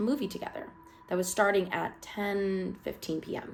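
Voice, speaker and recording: A woman's medium-pitched voice comes through noticeable background noise. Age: 20s. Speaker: online horror story narrator. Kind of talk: reading aloud; casual commentary.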